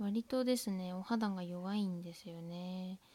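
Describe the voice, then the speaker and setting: A somewhat breathy woman in a Tohoku accent, dark and mellow in tone, fairly slow, with ordinary pitch variation and a dry, close sound with no echo. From Tohoku, Japan. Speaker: student podcaster. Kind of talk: casual monologue. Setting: at home, window open.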